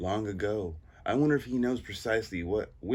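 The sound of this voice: Lively intonation in an unforced reading voice.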